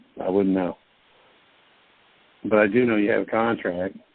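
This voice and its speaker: The man's delivery keeps a moderate pace, and his pitch varies in an ordinary way. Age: 50s. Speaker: conference call host answering legal and financial questions. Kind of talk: Q&A conference call advice. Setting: conference call.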